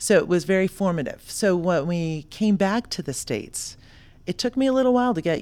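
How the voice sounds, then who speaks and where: A normal speaking voice from a woman with an American accent, fairly low in pitch, lively in intonation and fairly quick, on a very clean recording with a silent background. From South Florida. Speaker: entrepreneur, founder of a consulting company. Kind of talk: podcast interview.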